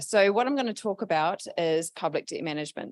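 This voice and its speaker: With a New Zealand accent, a woman is heard in a very clean recording with a silent background and a dry, close sound free of echo. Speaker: public debt management advisor. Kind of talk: presentation.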